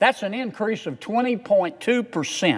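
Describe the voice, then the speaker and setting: Speaking at a fairly slow pace, a man with a Southern US accent has a high-pitched voice. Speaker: US senator. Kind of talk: Senate floor speech.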